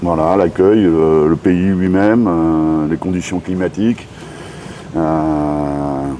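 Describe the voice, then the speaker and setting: With noticeable background noise behind him, a man speaks in fairly even intonation. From France, Brittany (Rennes). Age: 60s. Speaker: expat bar owner. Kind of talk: interview.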